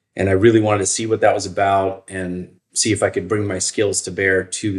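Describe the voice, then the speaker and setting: A man with an American accent speaks in a monotone, flat intonation at a fairly low pitch. The recording is very clean, with a silent background. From Northern Virginia. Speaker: emergency physician, chief medical officer. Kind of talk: interview.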